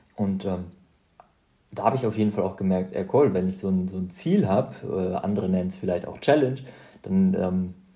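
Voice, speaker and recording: This man's voice is very deep and low, dark and mellow in tone, with fairly even intonation. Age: 30s. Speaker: podcast host, ultrarunner. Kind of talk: casual monologue. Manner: hesitant, many fillers.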